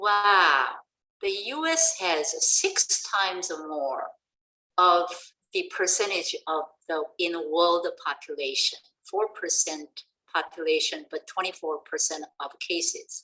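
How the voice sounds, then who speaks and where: A woman with a non-native accent speaks at a very slow pace. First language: not English. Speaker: education professor, presenter. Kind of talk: webinar presentation.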